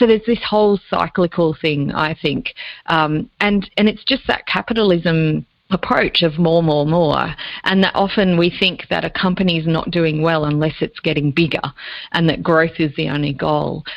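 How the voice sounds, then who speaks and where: Against a quiet background, a woman talks at a moderate pace with an Australian accent. Her pitch is fairly low and varies in an ordinary way. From Australia, Lake Macquarie area (New South Wales). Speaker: business coach and leadership consultant. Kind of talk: interview.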